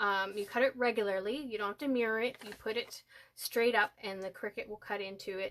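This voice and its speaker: A woman speaks at a fairly high pitch and a moderate pace with ordinary pitch variation. It is an ordinary speaking voice. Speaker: crafting tutorial presenter. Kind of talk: live-stream tutorial. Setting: Facebook live stream at home desk. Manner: casual, with filler words.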